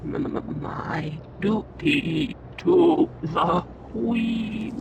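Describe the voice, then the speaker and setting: Someone delivers a put-on character voice at a very slow pace. Clear background noise is heard behind it. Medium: video game. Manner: stammering, halting.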